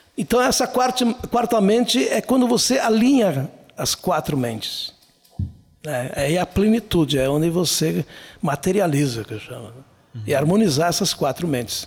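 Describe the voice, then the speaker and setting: A man with a high voice speaks at a moderate pace, his pitch swinging very widely. He pauses long and often while music plays in the background. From southern Brazil, Serra Gaúcha (Flores da Cunha). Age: 60s. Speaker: writer and speaker. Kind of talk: casual interview.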